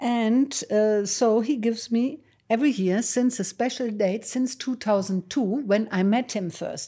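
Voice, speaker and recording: This woman talks fairly slowly with a German accent in a fairly high, dark and mellow voice. Her pitch varies in an ordinary way, and the recording is very clean with a silent background. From Germany, Düsseldorf. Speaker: painter. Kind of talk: casual chat. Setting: studio.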